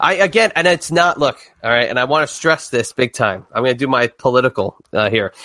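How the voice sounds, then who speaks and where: Speaking at a fairly quick pace with a New Jersey accent, a man of medium pitch uses lively intonation and a bright, sharp tone, his loudness very even and the sound dry and close with no echo. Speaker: wrestling podcaster. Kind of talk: casual interview chat. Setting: online recording studio.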